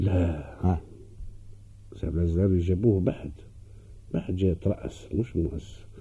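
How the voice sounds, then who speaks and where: Very deep and low in pitch, a man with a dark, mellow, somewhat breathy tone speaks at a fairly slow pace with fairly even intonation and long, frequent pauses. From Tunisia, Tunis. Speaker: actor. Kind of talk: radio interview.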